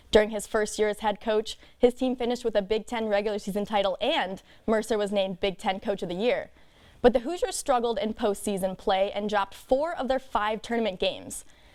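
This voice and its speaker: Speaking at a fairly quick pace, a woman has a plain, everyday voice, fairly high in pitch, with ordinary pitch variation. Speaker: sports anchor. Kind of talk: TV sports news anchoring.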